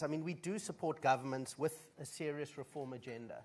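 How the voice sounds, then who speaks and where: A man with a South African accent speaks at a moderate pace. His voice is fairly high, with fairly even intonation. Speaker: management consultant, conference speaker. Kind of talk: conference speech.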